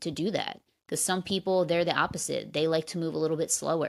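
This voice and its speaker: A very deep, low female voice with an American accent at a moderate pace, on a very clean recording with a silent background. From New Jersey / New York area, US. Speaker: podcast host, former executive assistant. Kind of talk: solo podcast advice talk.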